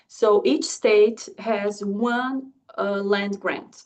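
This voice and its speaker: Lively intonation marks this woman's speech in a Brazilian accent. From southern Brazil. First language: Portuguese. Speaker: agricultural economics researcher and instructor. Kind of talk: lecture. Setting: video call. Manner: halting.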